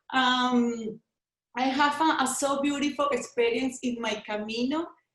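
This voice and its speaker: Speaking with a Spanish accent, a woman uses a high pitch, fairly even intonation and a fairly slow pace. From Venezuela. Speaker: travel company owner. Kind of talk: personal testimony. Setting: video call. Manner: halting.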